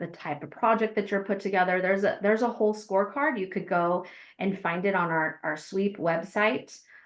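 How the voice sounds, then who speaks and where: This woman has an unremarkable speaking voice, pitched in the medium range with ordinary pitch variation. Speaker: farmer and grant program administrator. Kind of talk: webinar presentation and Q&A.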